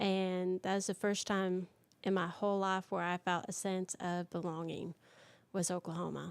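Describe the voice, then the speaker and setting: The voice comes in a Southern accent with monotone, flat intonation and a dry, close sound with no echo. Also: woman, very clean recording, silent background. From Michigan, raised in US South. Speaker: country singer. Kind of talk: interview testimony. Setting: live stream interview.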